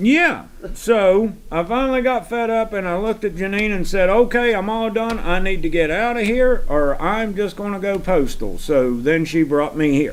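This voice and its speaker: A high-pitched man's voice with lively intonation, a moderate pace and hardly any pauses. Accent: Southern US. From US South. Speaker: farm hand. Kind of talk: casual chat.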